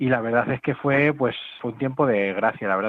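A man at medium pitch talks at a very fast pace. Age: 30s. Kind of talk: testimony. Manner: halting, many fillers and repetitions.

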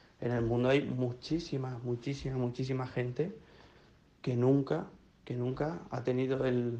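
The voice has a dark, mellow tone and moves at a moderate pace. Its intonation is monotone and flat. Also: man. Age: 20s. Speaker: volunteer. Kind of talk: testimony.

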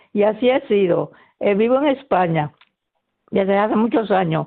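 Her pitch is medium, and this woman, with an unremarkable speaking voice, shows ordinary pitch variation.

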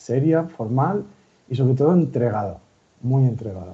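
Here a man speaks with lively intonation. His voice is somewhat breathy. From Valencia region, Spain (near Gandía). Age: 30s. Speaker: lay missionary volunteer. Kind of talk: radio interview. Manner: halting.

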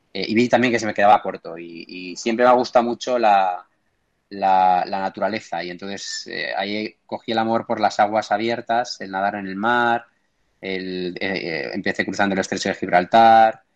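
Speech moves at a moderate pace. The intonation is fairly even. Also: man. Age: 30s. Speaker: entrepreneur and open-water swimmer. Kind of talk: interview. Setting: remote call. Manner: halting, many repetitions.

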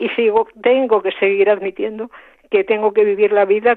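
This woman talks at a moderate pace in a medium pitch, her intonation flat and monotone. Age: 80s+. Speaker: radio listener caller. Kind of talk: testimony.

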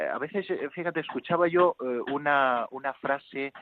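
Using a normal speaking voice, a man talks at a fairly slow pace in a fairly high pitch with ordinary pitch variation. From Spain, Toledo province (near Talavera de la Reina). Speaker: priest. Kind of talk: phone interview. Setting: phone call.

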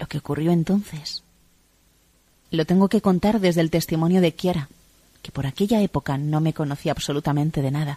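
The voice is somewhat breathy with a dark, mellow tone and ordinary pitch variation, moving at a fairly quick pace with long, frequent pauses in a dry, close sound with no echo. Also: woman, very deep, low pitch for a woman. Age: 40s. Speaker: convert giving testimony. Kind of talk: testimony.

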